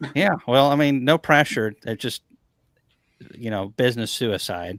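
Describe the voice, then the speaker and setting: An unremarkable speaking voice, medium in pitch, belongs to a man who talks at a fairly slow pace with lively intonation in a dry, close sound with no echo. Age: 30s. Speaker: beekeeping business owner. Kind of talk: casual chat.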